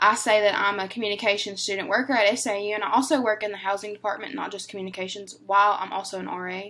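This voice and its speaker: A very fast, bright and sharp voice in a Southern US accent, with hardly any pauses, fairly even intonation and big swings in loudness. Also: woman, medium pitch for a woman. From northern Louisiana. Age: 20s. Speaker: university student. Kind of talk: class presentation.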